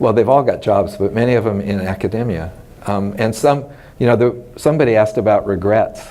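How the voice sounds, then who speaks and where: Noticeable background noise and audible room echo surround a man speaking at a fairly quick pace. His pitch is medium with ordinary variation. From US West, Los Angeles. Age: 60s. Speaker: retired mycology professor. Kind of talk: oral history interview. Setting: scientific conference. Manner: conversational, with many fillers.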